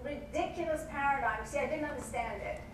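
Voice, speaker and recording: A woman speaks with an American accent. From England. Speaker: network marketing consultant. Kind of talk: motivational talk to a live audience. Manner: casual, conversational.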